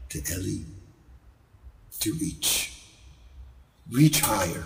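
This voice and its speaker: There is audible room echo around a man speaking at a very slow pace. His fairly low voice makes very wide pitch swings. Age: 70s. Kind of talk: recorded video blessing.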